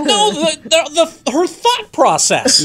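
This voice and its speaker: Music plays in the background. A man talks at a very slow pace in a high pitch. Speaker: radio show co-host. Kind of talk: casual radio show banter. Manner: mock-indignant, humorous. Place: studio. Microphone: studio mic.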